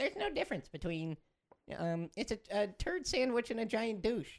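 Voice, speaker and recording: The speaker puts on a character voice, fairly high in pitch, and keeps a moderate pace. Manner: mocking, dismissive.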